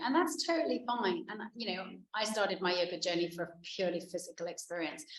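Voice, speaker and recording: The pace is fairly quick. Noticeable background noise runs under the voice. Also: woman. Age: 50s. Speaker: yoga instructor. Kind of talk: casual interview chat.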